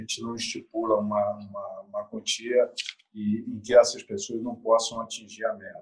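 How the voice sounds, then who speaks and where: A man's loudness swings a lot as he talks at a moderate pace. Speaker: football club presidential candidate. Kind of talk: interview.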